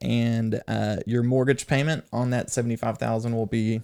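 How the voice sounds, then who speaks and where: An ordinary speaking voice from a man with an American accent, medium in pitch, at a moderate pace. His intonation is fairly even, and the recording is very clean, dry and close, with a silent background and no echo. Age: 30s. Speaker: mortgage loan officer. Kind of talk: casual chat.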